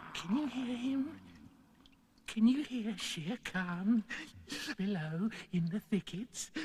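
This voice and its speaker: A man puts on a cartoonish character voice, pitched high and delivered at a very slow pace with long, frequent pauses. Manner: obsequious, wheedling.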